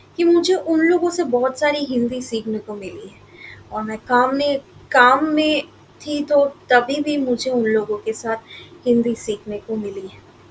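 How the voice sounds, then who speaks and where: Amid noticeable background noise, a woman talks with a high pitch, lively intonation and big swings in loudness. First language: Bengali (speaking Hindi). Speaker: YouTuber. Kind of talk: casual vlog talk. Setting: indoors at home, AC on. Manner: halting, many fillers and restarts.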